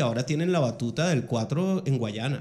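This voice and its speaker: Somewhat breathy, a man speaks with a fairly high pitch, ordinary pitch variation and a moderate pace. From Venezuela, Ciudad Bolívar. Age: 40s. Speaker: podcast host. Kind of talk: casual interview.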